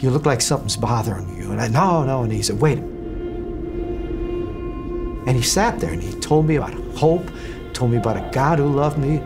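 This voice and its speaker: Clear music runs underneath. The man's speech keeps a moderate pace. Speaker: former TV reporter telling life story. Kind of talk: personal testimony. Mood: earnest, reflective. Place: studio.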